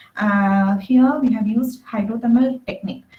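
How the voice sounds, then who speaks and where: Soft-spoken, a woman talks at a moderate pace. Her pitch varies in an ordinary way. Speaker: conference presenter, researcher. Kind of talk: conference talk. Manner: halting. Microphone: too quiet.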